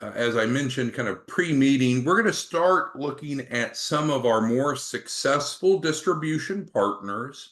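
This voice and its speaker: Against a quiet background, a man with an ordinary speaking voice talks fairly slowly with ordinary pitch variation. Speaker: business trainer. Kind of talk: sales training webinar talk.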